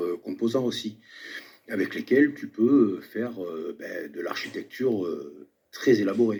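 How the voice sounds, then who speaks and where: A man talks at a fairly slow pace. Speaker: video commentator. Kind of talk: commentary monologue.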